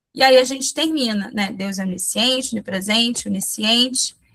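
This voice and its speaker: A woman speaks with a fairly high pitch that varies in an ordinary way. Her pace is fairly slow. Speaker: missionary and children's ministry teacher. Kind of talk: online training talk. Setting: video call. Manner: halting, with false starts.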